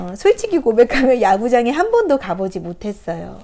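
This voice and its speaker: Against noticeable background noise, a woman with a high voice talks at a moderate pace. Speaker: picture book therapy counselor. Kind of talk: picture book talk to camera. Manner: hesitant fillers, conversational.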